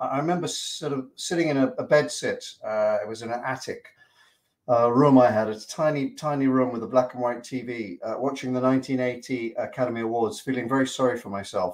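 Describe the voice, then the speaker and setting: A man speaks fairly quickly with ordinary pitch variation. The background is quiet. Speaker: remote guest, actor. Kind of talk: interview answer. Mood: wry, self-deprecating. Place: home room. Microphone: video call.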